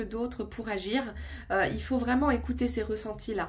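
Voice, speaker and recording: Audible room echo surrounds a woman speaking at a fairly high pitch. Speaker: tarot and oracle card reader. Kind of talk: intuitive card reading monologue to viewers. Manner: calm, settled; hesitant, many filler sounds.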